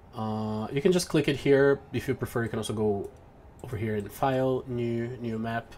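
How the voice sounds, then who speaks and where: A man speaks at a moderate pace with ordinary pitch variation. His pitch sits in the medium range. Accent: Brazilian. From Brazil. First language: Portuguese. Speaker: pixel artist and tutorial maker. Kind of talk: software tutorial. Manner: hesitant, many fillers.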